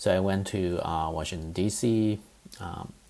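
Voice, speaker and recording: A man with a very deep, low voice and a slight Chinese accent. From eastern China, Zhejiang. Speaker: professor. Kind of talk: lecture. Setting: recorded online course. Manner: halting, many fillers.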